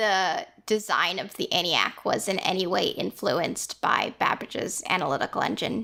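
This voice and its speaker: Bright, sharp tone with vocal fry runs on with hardly any pauses. The recording is very clean with a silent background. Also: woman. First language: not English. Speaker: podcast host. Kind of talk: casual chat.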